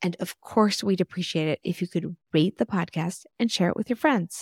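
An enthusiastic voice with an American accent and ordinary pitch variation, dry and close with no echo, in a very clean recording with a silent background. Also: woman. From Texas. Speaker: podcast host. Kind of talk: interview conversation.

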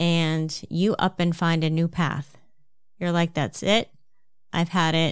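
A woman's fairly low-pitched voice with an American accent, monotone and flat, at a fairly slow pace on a very clean recording with a silent background. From New Jersey, US. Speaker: podcast host and health coach. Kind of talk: solo podcast monologue, advice talk.

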